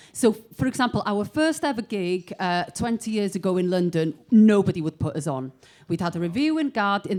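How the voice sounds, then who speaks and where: In a north Welsh accent, a woman speaks at a fairly quick pace with lively intonation on a very clean recording with a silent background. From north Wales, Bethesda. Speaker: musician. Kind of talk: panel discussion.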